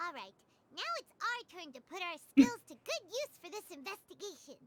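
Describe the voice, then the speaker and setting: Someone doing a put-on character voice speaks at a moderate pace, squeaky and extremely high in pitch. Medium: video game. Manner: lively, expressive.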